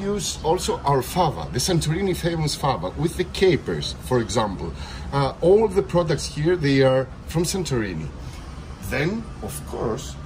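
There is noticeable background noise as a man speaks at a fairly slow pace. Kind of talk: interview answer. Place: cafe. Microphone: phone near.

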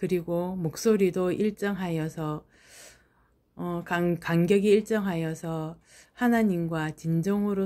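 A woman's dark, mellow tone at a fairly low pitch, very slow pace and fairly even intonation, on a very clean recording with a silent background. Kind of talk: spoken prayer and self-reflection. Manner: starts slow, speeds up toward the end; uneven pacing.

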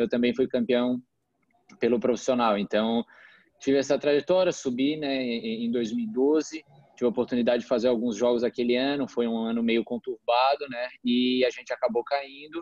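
A man talks at a moderate pace with ordinary pitch variation, in a dry sound with no echo and a quiet background. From Brazil, Florianópolis; Brazil. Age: 20s. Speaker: professional footballer; interviewee. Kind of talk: casual interview. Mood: relaxed, calm. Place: home room. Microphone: video call.

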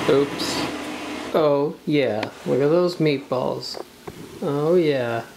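Over noticeable background noise, a woman with a very deep, low pitch and ordinary pitch variation speaks very slowly, with long, frequent pauses. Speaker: video production crew member. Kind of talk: casual vlog talk. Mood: pleased, playful. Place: kitchen. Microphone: phone near.

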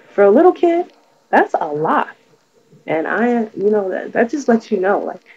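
A woman's fairly high voice with very wide pitch swings, at a moderate pace with long, frequent pauses. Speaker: video blogger. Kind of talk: casual vlog. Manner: low energy. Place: home room. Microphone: webcam.

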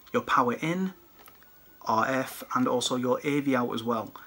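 A man's medium-pitched voice with a British accent, at a fairly slow pace. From UK. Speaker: retro gaming YouTuber and collector. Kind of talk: product showcase video. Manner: casual, chatty. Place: home room. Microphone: phone near.

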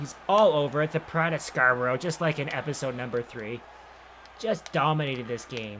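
Light background noise accompanies a man whose fairly high voice has a bright, sharp tone and ordinary pitch variation. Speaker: video game streamer and sports commentator. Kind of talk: live play-by-play commentary over video game footage, mixed with casual chat. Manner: rapid-fire, excitable play-by-play; clipped name-and-action calls; chatty, conversational between plays. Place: home room.

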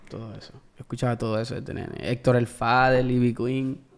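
A man is speaking. His intonation is fairly even. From US (Maryland/Washington D.C.), then Puerto Rico from 15. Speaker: musician. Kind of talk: casual interview. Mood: relaxed, reflective. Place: studio. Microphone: studio mic.

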